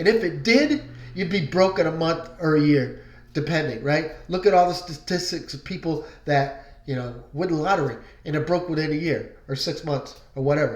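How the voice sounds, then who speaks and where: At a moderate pace, a man talks with a fairly high pitch and ordinary pitch variation, with audible room echo around him. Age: 60s. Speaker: online marketing vlogger. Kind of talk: casual motivational vlog with sales pitch. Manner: conversational, many fillers.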